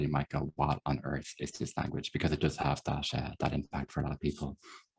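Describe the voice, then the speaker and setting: A man with an Irish accent and a dark, mellow tone. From Ireland. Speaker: software developer. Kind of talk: lecture. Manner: fast.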